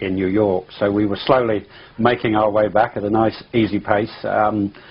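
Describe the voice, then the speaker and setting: Speaking with an English accent, the man keeps a moderate pace. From England. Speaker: pilot, UFO eyewitness. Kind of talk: interview testimony. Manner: halting, many fillers and restarts.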